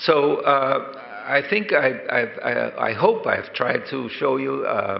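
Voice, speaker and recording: Audible room echo with noticeable background noise. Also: man. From Colombia. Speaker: professor and diabetes specialist. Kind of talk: conference lecture. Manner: halting, many fillers.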